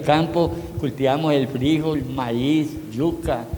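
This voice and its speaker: Noticeable background noise and audible room echo surround a man's fairly high voice, his intonation fairly even. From Colombia, San Luis, Antioquia. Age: 70s. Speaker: elderly local resident. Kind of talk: personal testimony. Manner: halting.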